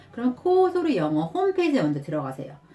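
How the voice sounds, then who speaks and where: Music plays behind a woman speaking at a fairly quick pace. Her pitch swings very widely. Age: 40s. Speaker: stay-at-home mother. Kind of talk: casual talk to camera, sponsored review.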